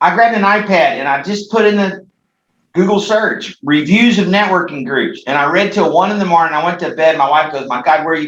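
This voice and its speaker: Speaking at a very fast pace, a man uses a high pitch and lively intonation. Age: 60s. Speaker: franchise founder. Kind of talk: panel interview. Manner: animated.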